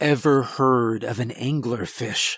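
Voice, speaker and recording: Using a put-on character voice, a man speaks fairly slowly in a raspy, medium-pitched tone. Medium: read story. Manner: curt, icy.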